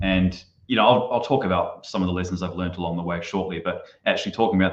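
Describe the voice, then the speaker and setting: A man with a New Zealand accent, very deep and low in pitch, at a very fast pace. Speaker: marketing consultant. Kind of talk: podcast interview.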